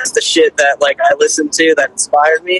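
A man speaks at a very fast pace. The sound is dry, with no echo. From Pennsylvania. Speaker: guitarist; podcast host. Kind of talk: casual chat. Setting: phone call. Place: studio. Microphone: studio mic.

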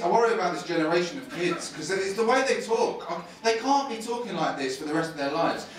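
A man talks at a very fast pace in a high pitch, with very wide pitch swings. Audible room echo and light background noise surround him. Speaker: stand-up comedian. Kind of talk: stand-up comedy set, live to a laughing crowd, with crowd work and punchline stories. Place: stage.

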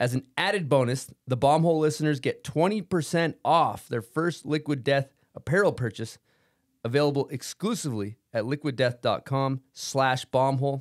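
At a moderate pace, a man speaks with a fairly high pitch and ordinary pitch variation against a quiet background. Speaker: podcast host. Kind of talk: casual chat. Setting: studio. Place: studio. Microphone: studio mic.

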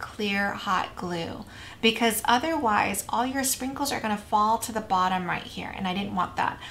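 Over light background noise, a woman talks with ordinary pitch variation. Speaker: craft tutorial host. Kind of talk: tutorial. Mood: warm, enthusiastic.

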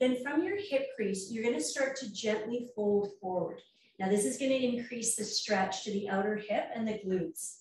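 A woman uses an ordinary speaking voice, fairly high in pitch, delivered at a moderate pace with ordinary pitch variation. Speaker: yoga teacher. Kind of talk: guided stretch class. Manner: calm, soothing.

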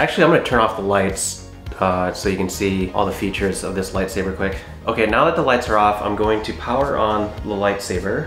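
A man at a fairly quick pace and fairly low pitch, with ordinary pitch variation, audible room echo and faint music in the background. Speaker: product reviewer. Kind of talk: casual product demo. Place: home room. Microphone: camera far.

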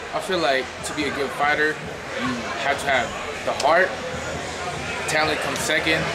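Loud noise in the background competes with a man talking fairly quickly. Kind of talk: interview answer. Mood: proud, earnest. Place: gym.

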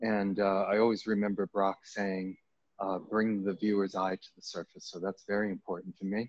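In a dry sound with no echo, a man speaks at a moderate pace in a fairly low, monotone, flat voice. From US Northeast, Maine. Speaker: painter. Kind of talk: artist talk. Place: hall.

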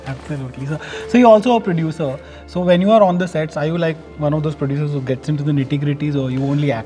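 Over faint background music, a man talks at a very fast pace with a fairly high pitch and ordinary pitch variation. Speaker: film critic and interviewer. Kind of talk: interview questions. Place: hall.

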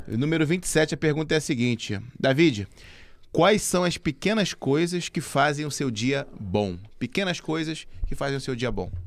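A man with vocal fry speaks at a fairly high pitch with lively intonation. His moderate pace comes through in a dry sound with no echo. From Brazil. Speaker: podcast host. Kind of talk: casual chat. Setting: studio. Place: studio. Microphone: studio mic.

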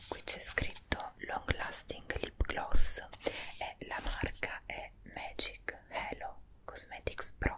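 Whispering at a very slow pace, a soft-spoken woman shifts widely in loudness over light background noise. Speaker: beauty vlogger. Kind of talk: product review vlog chat. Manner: soft close ASMR whisper. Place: home room. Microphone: earbuds.

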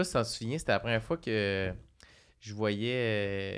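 Against a quiet background, a man speaks at a medium pitch. His pace is fairly slow and his pitch variation ordinary. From Quebec. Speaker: podcast co-host. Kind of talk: casual chat. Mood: amused, laughing. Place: studio. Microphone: studio mic.

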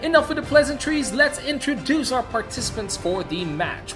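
Music plays in the background. A man speaks in a raised, projected voice with very wide pitch swings. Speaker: esports shoutcaster. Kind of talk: game shoutcasting commentary.

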